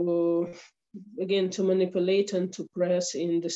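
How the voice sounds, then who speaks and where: A woman with a Ukrainian accent speaks at a medium pitch. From Ukraine. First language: Ukrainian or Russian. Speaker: attorney at law. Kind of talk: interview. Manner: halting. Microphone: slow internet connection.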